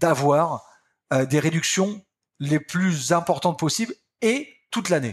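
A man with a high pitch talks with lively intonation. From France, Picardy. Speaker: company founder and boss. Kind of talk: interview.

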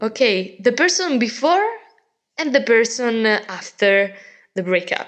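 Speaking with an Italian accent, a woman with a fairly high pitch talks at a fairly slow pace, leaving long, frequent pauses and keeping her loudness very even. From Italy. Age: 20s. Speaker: teacher. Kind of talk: casual chat. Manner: halting.

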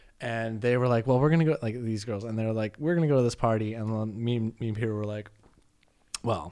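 Talking at a very fast pace, a man with a Canadian accent keeps a medium pitch. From Canada. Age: 30s. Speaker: podcast guest. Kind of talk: casual chat.

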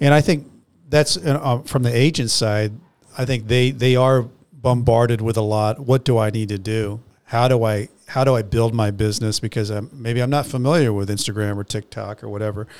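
Speaking with an American accent, a man has an unremarkable speaking voice at medium pitch, with ordinary pitch variation and a moderate pace. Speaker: podcast host. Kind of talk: casual chat.

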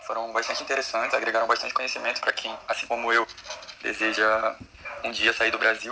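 Noticeable background noise lies behind a man who speaks at a fairly quick pace. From Brazil. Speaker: law student. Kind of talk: live Q&A question.

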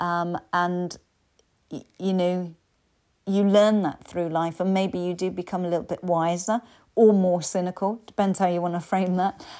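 A woman's medium-pitched, dark, mellow voice with an English accent, monotone and flat at a moderate pace, on a very clean recording with a silent background. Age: 50s. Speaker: life coach. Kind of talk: solo podcast talk.

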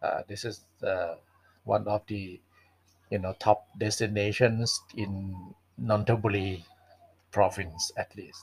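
With a Thai accent, a man speaks very slowly in a fairly low, somewhat breathy voice, monotone and flat, with long, frequent pauses and big swings in loudness. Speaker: English teacher and podcast host. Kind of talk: solo podcast monologue. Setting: home library. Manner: hesitant, many fillers.

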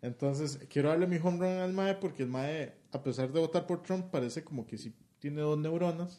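At a moderate pace, a man with a fairly high pitch speaks in a dark, mellow tone with ordinary pitch variation. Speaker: podcast co-host. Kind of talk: casual chat.

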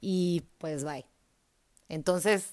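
Recorded very cleanly against a silent background, the speaker with a northern Mexican accent uses an animated tone and ordinary pitch variation, the sound dry and close with no echo. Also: woman. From Mexico, Hermosillo (Sonora). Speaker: podcast host. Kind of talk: personal monologue.

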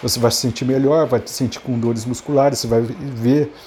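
Over noticeable background noise, a man with a Brazilian accent talks in a medium pitch with ordinary pitch variation. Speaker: podcaster. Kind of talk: unscripted solo monologue. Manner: halting, many filler repetitions.

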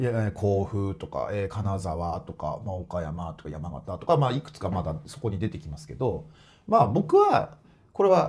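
Through vocal fry, a man speaks at a moderate pace with very wide pitch swings. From Ibaraki, Japan. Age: 40s. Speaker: football club president. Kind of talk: casual interview.

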